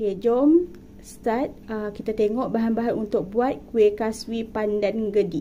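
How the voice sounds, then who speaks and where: A woman with a Malaysian accent speaks at a moderate pace in a fairly high pitch. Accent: Malaysian Malay. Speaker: cooking vlogger. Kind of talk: cooking tutorial.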